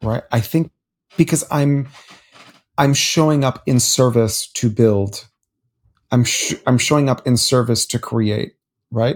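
Speaking at a fairly slow pace with long, frequent pauses, a man talks in a somewhat breathy, medium-pitched voice with ordinary pitch variation. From US, Miami, Florida (Cuban-American). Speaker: public speaking coach, former stage actor. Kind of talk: interview. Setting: at home in bed.

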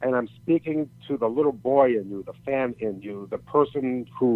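A man talks at a medium pitch with ordinary pitch variation. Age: 60s. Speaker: retired pro wrestler and motivational speaker. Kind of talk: interview.

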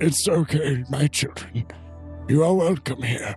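Over clear music in the background, a man uses a put-on character voice at medium pitch and a fairly slow pace. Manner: gentle and welcoming.

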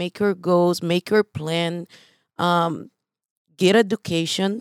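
A woman's fairly low voice with a Brazilian accent at a very slow pace, dry and close with no echo, in a very clean recording with a silent background. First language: Portuguese. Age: 40s. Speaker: real estate investor and coach. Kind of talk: casual interview.

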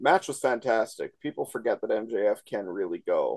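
The recording is dry and close, with no echo. A man with a Canadian accent talks at a moderate pace. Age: 30s. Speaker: wrestling podcast co-host. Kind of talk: casual chat.

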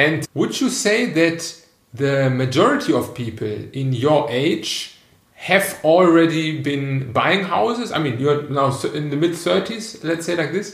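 Speaking very slowly with a German accent, a man uses a fairly high voice and lively intonation. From Germany, Cologne. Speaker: podcast host. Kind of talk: casual interview. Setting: guest's apartment.

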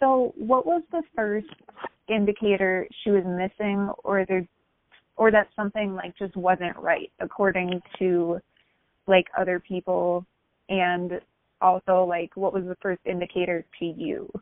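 Speaking at a fairly slow pace, a woman with medium pitch and fairly even intonation has a plain, everyday voice. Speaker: podcast host. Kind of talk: interview.

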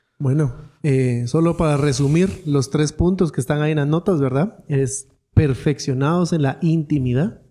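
His pitch is fairly high for a man, with a dark, mellow tone. This man speaks at a moderate pace with ordinary pitch variation. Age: 30s. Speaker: podcast host. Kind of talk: Bible teaching conversation.

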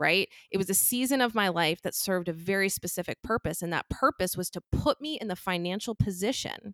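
A woman with an unremarkable speaking voice speaks at a fairly quick pace in a medium pitch with lively intonation, in a dry, close sound with no echo. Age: 30s. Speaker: financial podcaster and event organizer. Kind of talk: interview podcast.

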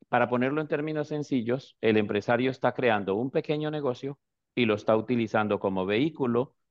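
Moving at a fairly quick pace, a man with an ordinary speaking voice keeps a medium pitch with ordinary pitch variation. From Colombia. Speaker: business immigration consultant. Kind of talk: explanatory talk on a live stream. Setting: online live video stream.

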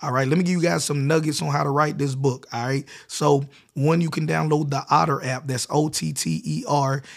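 In an American accent, a man with a plain, everyday voice talks at a moderate pace, his fairly high pitch showing ordinary variation. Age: 30s. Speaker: podcast host, entrepreneur. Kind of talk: casual chat; tutorial.

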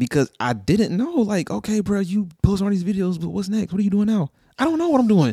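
A man with an American accent talks at a very fast pace and a high pitch, his voice a dark, mellow tone. His pitch swings very widely, and the sound is dry and close with no echo. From North Carolina. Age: 20s. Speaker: drummer. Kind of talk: casual chat.

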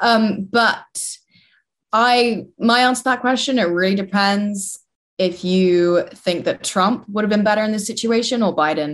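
A woman with a London accent speaks at a fairly slow pace and medium pitch, her loudness very even and her pitch variation ordinary, on a very clean recording with a silent background. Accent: southern English, London. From London, England. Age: 20s. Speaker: university student and political commentator. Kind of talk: interview.

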